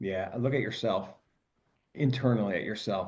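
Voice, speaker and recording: Lively intonation marks a man's dark, mellow tone. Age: 60s. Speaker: tax firm co-founder and partner. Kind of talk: podcast interview.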